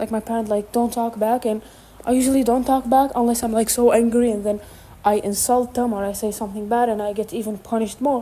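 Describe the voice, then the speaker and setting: Over noticeable background noise, a woman talks at a very fast pace with a non-native accent. Her fairly high voice has a monotone, flat intonation. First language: not English. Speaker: vlogger. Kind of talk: casual monologue. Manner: halting.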